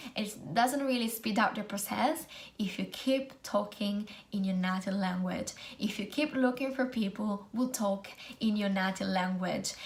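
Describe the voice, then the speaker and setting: In an Italian accent, a woman speaks at a fairly slow pace. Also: medium pitch for a woman, ordinary pitch variation. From Italy. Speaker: student nurse and video blogger. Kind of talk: casual vlog tutorial.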